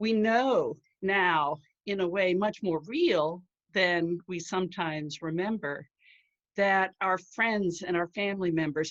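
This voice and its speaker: A woman's normal speaking voice at medium pitch, with ordinary pitch variation and a fairly slow pace. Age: 60s. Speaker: writer and marketing professional sharing her mental health story. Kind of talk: prepared talk. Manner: formal.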